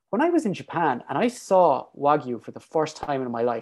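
A man with an Irish accent speaks at a moderate pace against a quiet background. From Ireland. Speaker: PhD researcher and fitness coach. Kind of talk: casual chat.

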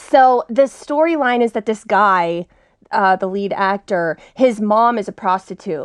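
Lively intonation marks this American-accented voice, heard against a quiet background. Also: woman, fairly high pitch for a woman. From Texas. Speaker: stand-up comedian. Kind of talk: casual chat. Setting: studio.

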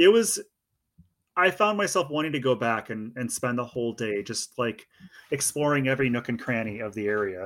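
Recorded very cleanly against a silent background, a man with an American accent speaks in a plain, everyday voice at medium pitch and a moderate pace. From Oregon. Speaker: hiking guidebook author. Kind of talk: casual interview.

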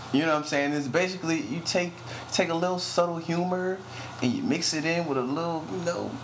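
A man with a high pitch and ordinary pitch variation at a fairly quick pace, broken by long, frequent pauses, amid noticeable background noise. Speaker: podcast host. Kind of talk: casual banter. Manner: casual, joking.

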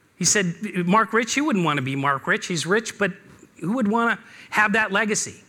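Raising and projecting his voice, a man speaks at a fairly quick pace with a bright, sharp tone. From Seattle. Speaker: business speaker. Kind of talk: talk to an audience. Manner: hesitant with fillers.

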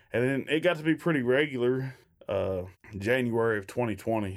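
In a very clean recording with a silent background, a man with a Kentucky accent speaks at a moderate pace. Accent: Kentucky Southern US. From Kentucky, Shepherdsville near Louisville. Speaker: bluegrass band member. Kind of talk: interview.

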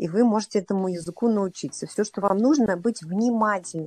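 Her voice is medium in pitch, with a dark, mellow tone. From Russia, Saint Petersburg. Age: 40s. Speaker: triathlete and coach. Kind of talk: interview. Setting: remote call.

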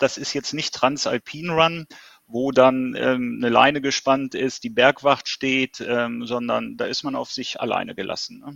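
Fairly even intonation carries this man's medium-pitched speech. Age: 50s. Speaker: ultrarunner. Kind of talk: interview. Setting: video call.

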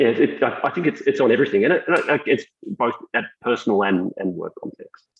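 Speaking at a moderate pace with an Australian accent, a man's voice makes big swings in loudness. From Australia, Melbourne. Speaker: technology executive. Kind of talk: interview.

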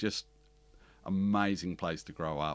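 A man with an Australian accent and a very deep, low pitch speaks at a moderate pace with ordinary pitch variation on a very clean recording with a silent background. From Western Australia, country town. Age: 50s. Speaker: bookkeeping business owner. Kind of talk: interview conversation. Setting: studio in Melbourne. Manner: animated, talks with hands.

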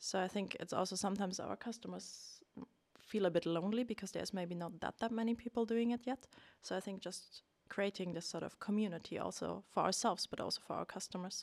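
A woman with a German accent talks at a very fast pace in a medium pitch, her intonation fairly even and the sound dry and close with no echo. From Germany. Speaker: research scientist. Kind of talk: interview.

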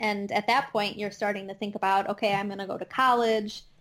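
A woman speaks in a Midwestern accent. Her intonation is monotone and flat. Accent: Midwestern twang, noticeable. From US Midwest, Chicago suburbs, Illinois. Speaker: astronomer and educator. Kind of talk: casual interview chat. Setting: remote podcast recording with microphone.

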